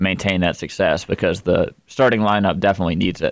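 In a very clean recording with a silent background, a man with an unremarkable speaking voice talks at a fairly low pitch with fairly even intonation. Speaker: sports radio co-host. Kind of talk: casual sports talk show chat.

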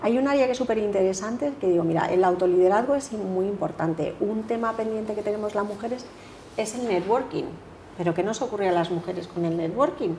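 Over noticeable background noise and audible room echo, a woman speaks at a fairly quick pace in a medium pitch with ordinary pitch variation. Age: 50s. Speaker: leadership coach. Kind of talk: interview.

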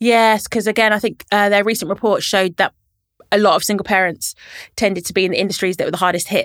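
A woman talks very fast in a London accent with fairly even intonation. The recording is very clean with a silent background and a dry, close sound with no echo. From London, Camden. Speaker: local politician, mayor. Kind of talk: interview. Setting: studio.

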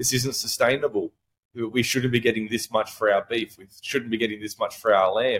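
A man's medium-pitched voice with an Australian accent, flat and monotone, at a fairly quick pace. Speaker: regenerative farmer. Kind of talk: casual interview.

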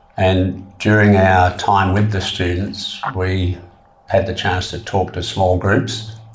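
Over noticeable background noise, a man with a very deep, low pitch speaks at a very slow pace and with fairly even intonation. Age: 70s. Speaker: trekker. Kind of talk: interview. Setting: studio.

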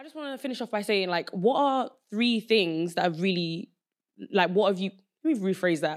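With a Southeast London accent, a woman speaks at a moderate pace and medium pitch, her loudness swinging widely. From Nigeria, raised in London from age seven. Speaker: podcast host. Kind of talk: casual chat.

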